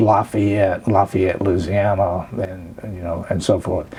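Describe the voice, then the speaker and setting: A man with an Alabama accent, fairly low in pitch, at a very slow pace with fairly even intonation, over noticeable background noise. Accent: Alabama Southern US. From US South, rural Chambers County, Alabama. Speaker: oral history interviewee. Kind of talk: oral history interview. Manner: hesitant, many filler words.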